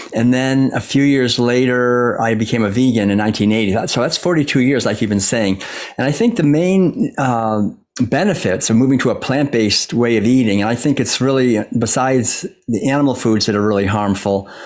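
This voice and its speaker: A man's normal speaking voice at medium pitch in an American accent, fairly quick in pace and very even in loudness. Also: ordinary pitch variation. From US Northeast, Massachusetts. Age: 60s. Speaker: author and former monk. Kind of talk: interview.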